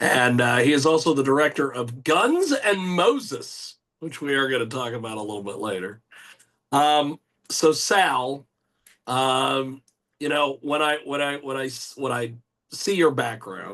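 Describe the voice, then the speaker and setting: Over a quiet background, a man talks at a fairly slow pace. His pitch is fairly high, with ordinary pitch variation. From United States. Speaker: radio host. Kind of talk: radio interview. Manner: animated.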